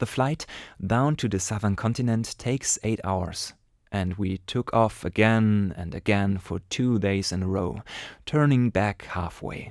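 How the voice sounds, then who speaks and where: Speaking at a fairly slow pace in a strong German accent, a man is heard on a very clean recording with a silent background. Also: dry, close sound with no echo. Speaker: amateur storyteller. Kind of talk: reading aloud a short story.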